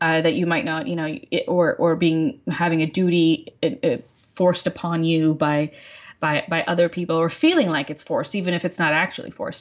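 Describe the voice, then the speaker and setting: This woman has an American accent and a plain, everyday voice, pitched fairly low with ordinary pitch variation and delivered at a fairly quick pace. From Texas. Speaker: activist, nonprofit director. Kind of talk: casual interview conversation.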